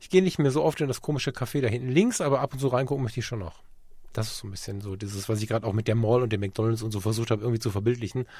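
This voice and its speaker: Very fast speech from a man at medium pitch, somewhat breathy and dark, mellow in tone, with ordinary pitch variation. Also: very clean recording, silent background. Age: 40s. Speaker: podcast co-host and photographer. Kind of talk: casual chat.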